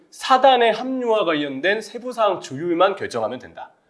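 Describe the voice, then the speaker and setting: Music plays in the background as a man talks with very wide pitch swings. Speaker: football pundit. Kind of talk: casual chat. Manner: fast.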